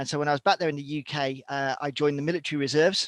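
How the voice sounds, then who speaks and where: Speaking very fast with a British accent, a man uses a fairly high pitch and monotone, flat intonation. The sound is dry and close with no echo, on a very clean recording with a silent background. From Britain. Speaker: survival instructor and former military reservist. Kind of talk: interview.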